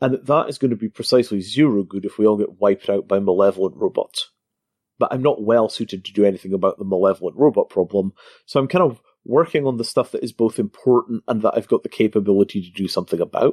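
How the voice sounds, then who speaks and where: A man speaks very fast in a Scottish accent. The sound is dry and close with no echo. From Scotland. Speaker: crypto entrepreneur. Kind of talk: interview.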